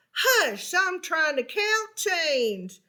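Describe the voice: In a put-on character voice, a woman speaks at a very slow pace and an extremely high pitch, her bright, sharp tone marked by big pitch swings.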